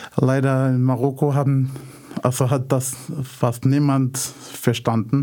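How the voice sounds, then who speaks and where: A man's very slow, monotone delivery at medium pitch, dark and mellow in tone, with flat intonation and very even loudness. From Morocco, Casablanca. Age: 30s. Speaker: blind refugee. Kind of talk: radio interview. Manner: halting, many fillers.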